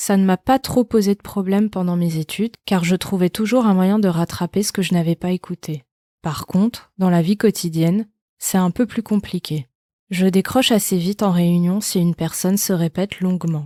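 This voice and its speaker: In a very clean recording with a silent background, a woman speaks at a medium pitch in a dark, mellow tone with fairly even intonation, the sound dry and close with no echo. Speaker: podcast host. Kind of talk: scripted narration. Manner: slow; monotone.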